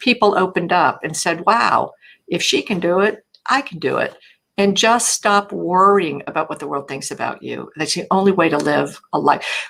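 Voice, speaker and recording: Vocal fry runs through a woman's speech, which has ordinary pitch variation. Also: medium pitch for a woman, moderate pace. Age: 60s. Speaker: public speaker and coach. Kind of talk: casual interview chat.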